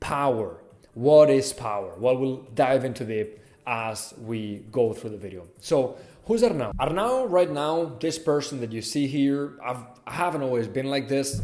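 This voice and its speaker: In a Catalan accent, a man speaks at medium pitch and a moderate pace with ordinary pitch variation. Room echo is audible. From Catalonia, Spain (Barcelona). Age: 20s. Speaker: lifestyle vlogger. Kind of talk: personal vlog monologue.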